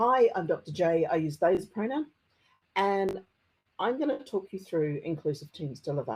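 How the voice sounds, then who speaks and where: Her delivery has very wide pitch swings at a moderate pace. The woman speaks with a strong New Zealand accent. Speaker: conference speaker, technology consultant. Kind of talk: conference talk. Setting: conference presentation. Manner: occasional stammering on hard consonants.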